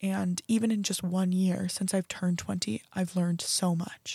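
A woman with a General American accent speaks at a fairly slow pace in a dark, mellow, somewhat breathy tone with fairly even intonation. The sound is dry and close with no echo, a very clean recording with a silent background. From US Pacific Northwest, Oregon. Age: 20s. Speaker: podcast host and college student. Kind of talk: casual solo podcast.

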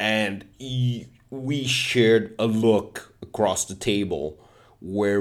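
This is a man's voice. His pitch is fairly low. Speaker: podcaster and open mic comedian. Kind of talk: casual solo monologue podcast. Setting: home recording. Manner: rambling, self-deprecating, informal.

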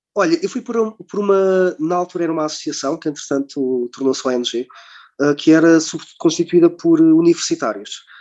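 This man's voice sits high in pitch, with a dark, mellow tone and ordinary pitch variation. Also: moderate pace, dry, close sound with no echo. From Portugal. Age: 30s. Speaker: nurse and volunteer traveller. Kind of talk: casual interview. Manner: hesitant, many filler words.

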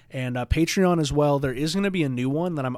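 The man speaks with lively intonation. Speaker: podcast host. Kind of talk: solo Q&A podcast.

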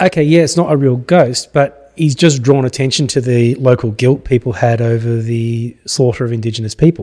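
A man talks at a moderate pace with an Australian accent, barely pausing. His tone is dark and mellow. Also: medium pitch for a man, ordinary pitch variation. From Australia, Gippsland, Victoria. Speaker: history professor. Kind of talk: casual interview. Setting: studio.

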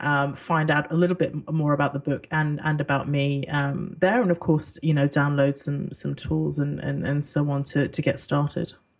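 A woman speaks at a moderate pace with hardly any pauses, her pitch very deep and low. Her intonation stays monotone and flat over noticeable background noise. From international upbringing, British-Singaporean expat childhood. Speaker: relocation consultant and author. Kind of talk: interview. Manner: hesitant, many fillers.

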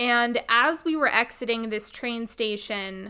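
A woman's loud voice has a bright, sharp tone and a fairly high pitch. She talks at a fairly slow pace in a very clean recording with a silent background. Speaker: podcast host, psychic healer. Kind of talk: storytelling monologue. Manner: casual, chatty.

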